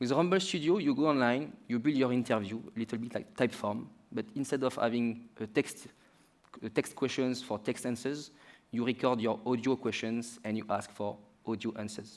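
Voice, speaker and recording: A man with a French accent talks at a fairly quick pace with fairly even intonation. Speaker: startup founder. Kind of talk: pitch.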